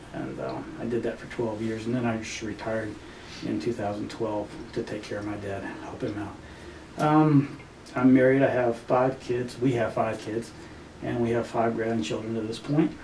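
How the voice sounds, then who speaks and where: The intonation is fairly even at a moderate pace. There is audible room echo along with noticeable background noise. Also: man, medium pitch for a man. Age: 60s. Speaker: patient, retired firefighter and army veteran. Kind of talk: testimony interview. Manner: hesitant, many fillers.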